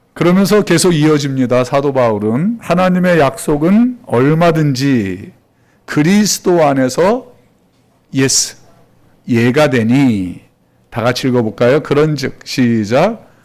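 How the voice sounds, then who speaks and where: Very slow delivery with very wide pitch swings. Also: man, fairly high pitch for a man. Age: 60s. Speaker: pastor. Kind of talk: sermon. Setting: church.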